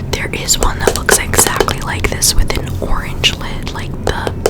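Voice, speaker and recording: Noticeable background noise surrounds a woman who whispers. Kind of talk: ASMR hair care product talk. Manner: whispered, soft, casual.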